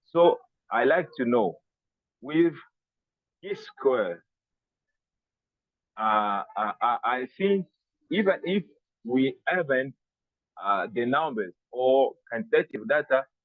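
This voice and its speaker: With a Congolese accent, a man talks at a very slow pace, leaving long, frequent pauses while his pitch swings very widely. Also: medium pitch for a man. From DR Congo. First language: French. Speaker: researcher attending webinar. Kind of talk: question in online Q&A. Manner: halting, many fillers.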